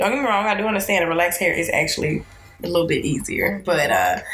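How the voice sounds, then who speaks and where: A woman talks at a very fast pace in an animated tone and at very even loudness, with audible room echo and noticeable background noise. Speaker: podcast co-host. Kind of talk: casual chat.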